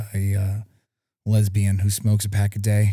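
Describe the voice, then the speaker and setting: This man's voice is fairly low, somewhat breathy and dark and mellow in tone, with monotone, flat intonation. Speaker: podcast co-host. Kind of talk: casual chat.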